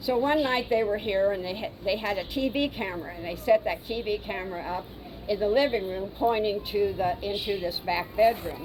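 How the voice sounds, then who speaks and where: A woman talks at a moderate pace with a medium pitch and ordinary pitch variation. Noticeable background noise sits behind her. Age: 80s+. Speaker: former owner of historic house. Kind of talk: storytelling. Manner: halting.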